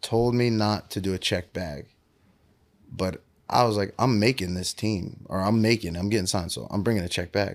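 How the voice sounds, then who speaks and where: A man with an American accent uses a normal speaking voice, talking at a moderate pace with a fairly low pitch and fairly even intonation. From Pennsylvania, Willow Grove. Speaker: professional football player. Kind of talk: interview.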